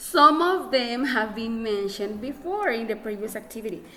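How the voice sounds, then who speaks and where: A woman with a non-native accent speaks at a moderate pace, with lively intonation and a fairly high pitch. The recording has audible room echo and noticeable background noise. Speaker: English teacher. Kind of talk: classroom lesson. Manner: halting.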